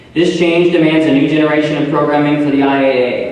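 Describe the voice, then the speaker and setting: A man with an American accent, fairly high in pitch, fairly even in intonation, at a fairly quick pace, over noticeable background noise. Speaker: auctioneer, newly elected association president. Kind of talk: formal speech at a professional conference. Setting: conference hall, addressing an audience.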